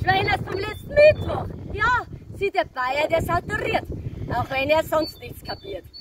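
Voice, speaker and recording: A woman with a Bavarian accent speaks at a fairly slow pace and an extremely high pitch, with very wide pitch swings and big swings in loudness. The sound is dry with no echo, but loud background noise is present. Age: 30s. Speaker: cabaret comedian. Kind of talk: stage cabaret performance. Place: open country. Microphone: camera far.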